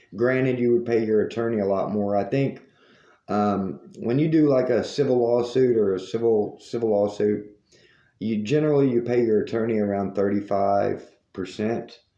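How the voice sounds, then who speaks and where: With a Southern US accent, a man talks at a moderate pace in a medium-pitched, dark, mellow voice, his pitch varying in an ordinary way and his loudness very even. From US South. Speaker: news commentary host. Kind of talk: monologue commentary.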